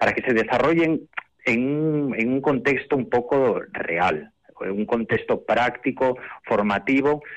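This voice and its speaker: Lively intonation from a man with a medium-pitched voice. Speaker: children's choir director. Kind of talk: interview.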